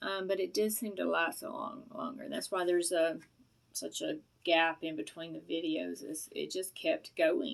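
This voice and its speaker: A woman with a Southern US accent speaks at a moderate pace, her pitch swinging very widely. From US South. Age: middle-aged. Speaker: product reviewer vlogger. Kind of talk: casual vlog review. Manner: rambling, hesitant with many fillers.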